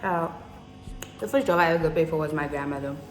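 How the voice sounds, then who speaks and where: A woman at a very fast pace, fairly low-pitched with fairly even intonation, amid audible room echo and noticeable background noise. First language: Afrikaans. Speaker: youtuber. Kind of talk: casual vlog chat.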